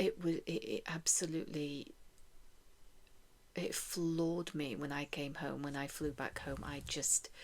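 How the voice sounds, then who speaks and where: A soft-spoken woman talks at a fairly slow pace. She leaves long, frequent pauses. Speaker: chronic illness vlogger. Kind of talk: casual talk to camera.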